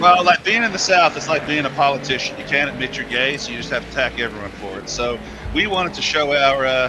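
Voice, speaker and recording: A man talks at a very fast pace with a medium pitch. Music plays in the background. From Australia. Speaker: sim racing commentator. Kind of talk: casual chat.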